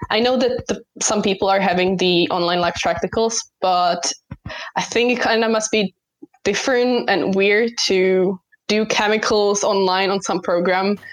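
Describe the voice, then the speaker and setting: At a medium pitch, a woman has an ordinary speaking voice, with fairly even intonation, very even loudness and a moderate pace. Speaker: university student. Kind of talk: casual chat.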